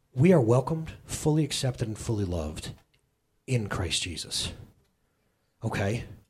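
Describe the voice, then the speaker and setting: Somewhat breathy, a man speaks at a moderate pace with very wide pitch swings. Long pauses come often, and room echo is audible. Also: medium pitch for a man. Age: 30s. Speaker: pastor. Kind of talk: sermon. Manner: animated, conversational.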